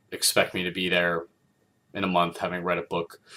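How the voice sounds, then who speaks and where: Quiet and fairly quick, a man speaks in a very deep, low pitch. His tone is bright and sharp. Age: 30s. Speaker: film critic video host. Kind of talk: casual monologue. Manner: quiet, low; halting, many fillers.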